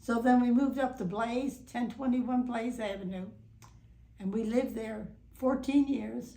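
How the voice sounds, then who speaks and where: A woman's dark, mellow tone at a fairly slow pace, with audible room echo. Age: 90s. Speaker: long-time local resident interviewed for oral history. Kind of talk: oral history interview. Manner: halting, many fillers and restarts.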